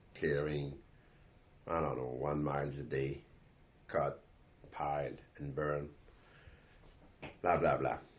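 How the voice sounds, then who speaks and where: Monotone, flat delivery at a fairly slow pace, with long, frequent pauses and audible room echo. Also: man, very deep, low pitch for a man. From Quebec. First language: French. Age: 60s. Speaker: company owner and CEO. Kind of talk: podcast monologue. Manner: halting, many fillers.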